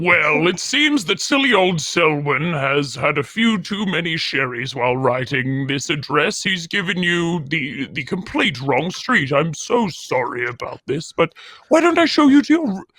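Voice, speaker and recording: Using a put-on character voice, a man speaks with a high pitch at a moderate pace, with hardly any pauses. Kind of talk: polite, formal. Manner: apologetic, hosting.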